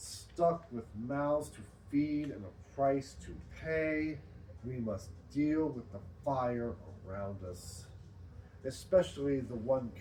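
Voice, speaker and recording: A man at medium pitch, very slow in pace, with lively intonation and audible room echo. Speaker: poet. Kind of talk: poetry reading at open mic; casual talk between poems. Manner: loud.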